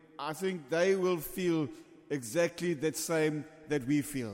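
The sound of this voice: At a slow pace, the voice has a slightly mellow tone and ordinary pitch variation. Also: man, fairly high pitch for a man.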